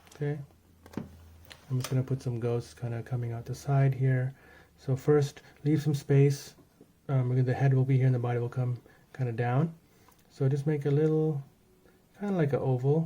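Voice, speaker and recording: A man talks in a medium-pitched, somewhat breathy voice with a dark, mellow tone. His intonation stays fairly even, broken by long, frequent pauses. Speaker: art tutorial creator. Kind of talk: tutorial. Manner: fast; casual, with fillers.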